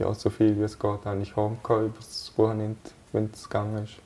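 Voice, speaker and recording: A man with a fairly low pitch, talking at a very fast pace. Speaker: national team footballer. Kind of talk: interview. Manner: hesitant, many fillers.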